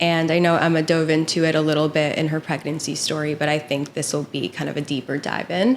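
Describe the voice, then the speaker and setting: A woman's very deep, low voice at a fairly quick pace, fairly even in intonation, over noticeable background noise. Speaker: podcast host. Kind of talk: casual chat. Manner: soft-spoken.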